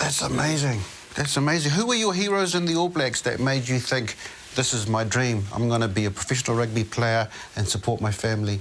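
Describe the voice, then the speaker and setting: A man talks at a fairly quick pace with lively intonation and very even loudness. Noticeable background noise sits behind him. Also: medium pitch for a man. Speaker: interview host. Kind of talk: interview questions.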